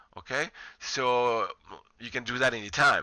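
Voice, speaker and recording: A man with a non-native accent, medium pitch and a bright, sharp tone at a moderate pace, on a very clean recording with a silent background. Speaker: college professor. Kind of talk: lecture.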